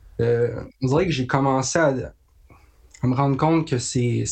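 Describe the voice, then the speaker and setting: Talking fairly slowly against a quiet background, a man with a medium pitch sounds somewhat breathy, with a dark, mellow tone. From Quebec, Haute-Mauricie (La Tuque). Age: young. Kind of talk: casual interview.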